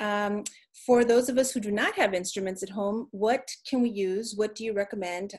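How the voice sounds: At a medium pitch, the woman talks at a moderate pace.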